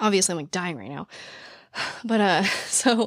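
A woman's raspy voice with vocal fry at a fairly quick pace, in a very clean recording with a silent background and a dry, close sound with no echo

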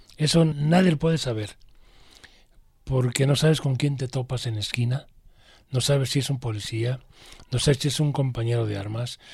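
The speaker sounds somewhat breathy, with ordinary pitch variation. There are long, frequent pauses. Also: man, medium pitch for a man, moderate pace. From Guadalajara, Jalisco, Mexico. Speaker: former gang member and activist's brother. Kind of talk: interview testimony.

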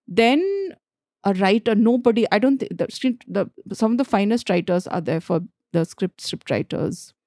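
A woman with a Bihar accent talks at a moderate pace in a fairly high, dark and mellow voice with ordinary pitch variation. The recording is very clean with a silent background, and the sound is dry and close with no echo. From Jharkhand, India. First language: Bhojpuri. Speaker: screenwriter. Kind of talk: casual interview conversation.

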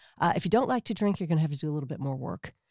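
A woman with an American accent speaks in a fairly low pitch, with a dark, mellow tone and vocal fry. Her intonation is lively, and the sound is dry and close with no echo. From US, Wisconsin. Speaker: author and blogger. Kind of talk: casual chat. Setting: studio.

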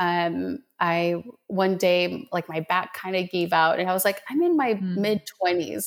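In a plain, everyday voice, a woman speaks at medium pitch with fairly even intonation. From Colombia, raised in Minnesota from age seven. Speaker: energy healer. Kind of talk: casual interview chat.

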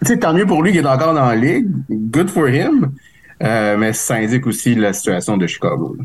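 Speaking at a moderate pace with a medium pitch, a man swings his pitch very widely while keeping his loudness very even. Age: 40s. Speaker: hockey commentator. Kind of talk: casual chat.

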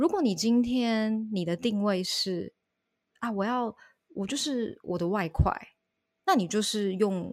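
A woman speaks at a very slow pace, with long, frequent pauses. Her pitch is fairly high, with ordinary variation. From Taiwan. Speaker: online Mandarin teacher. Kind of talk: interview.

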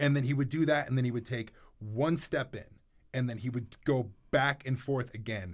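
A man talks at a moderate pace and a medium pitch. His voice is somewhat breathy, with ordinary pitch variation. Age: 30s. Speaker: podcast co-host. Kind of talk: casual chat. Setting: studio.

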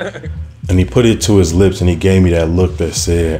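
With audible room echo and noticeable background noise, the voice moves at a moderate pace with ordinary pitch variation. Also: man. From Chicago South Side. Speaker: storyteller. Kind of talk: live storytelling. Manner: animated.

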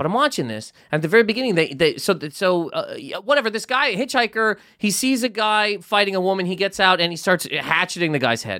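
A man speaks at a fairly quick pace in a high, raised and projected voice, his tone bright, sharp and animated. The intonation is lively, and the recording is very clean with a silent background. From Nova Scotia, Canada. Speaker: comedian. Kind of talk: casual comedic banter. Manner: animated, fast storyteller.

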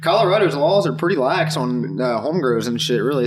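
At a moderate pace, the voice comes through with audible room echo and noticeable background noise. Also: man. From Dayton, Ohio, US Midwest. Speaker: cannabis grower. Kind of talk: casual chat. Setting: indoor grow room.

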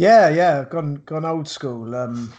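Speaking at a slow pace, a man with a fairly high pitch and a slightly mellow tone uses ordinary pitch variation.

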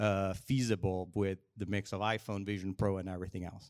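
In an unremarkable speaking voice, a man talks at a fairly quick pace and fairly low pitch. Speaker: tech company executive. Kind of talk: live panel discussion. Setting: stage with audience.

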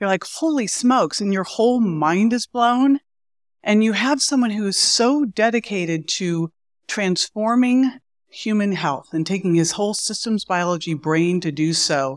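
Here a woman with an ordinary speaking voice keeps a moderate pace and medium pitch, her intonation lively. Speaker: podcast host. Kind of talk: scripted show intro and outro, enthusiastic.

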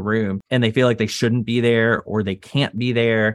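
A man with an American accent, medium-pitched, a plain, everyday voice, at a fairly quick pace. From Texas. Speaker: property insurance lawyer and entrepreneur. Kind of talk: interview.

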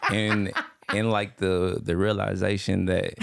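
Vocal fry runs through a man's voice. He speaks at a fairly slow pace. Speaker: physical therapist. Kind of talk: casual chat.

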